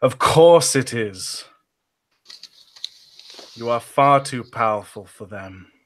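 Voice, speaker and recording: Cackling in a put-on character voice, a man speaks at a medium pitch. His pace is fairly slow, with long, frequent pauses. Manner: evil, cackling.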